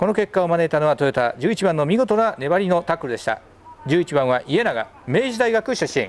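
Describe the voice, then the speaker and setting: A man speaks with a high pitch. His voice swings very widely up and down. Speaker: play-by-play commentator. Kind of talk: live commentary. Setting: outdoors. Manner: fast talker; formal.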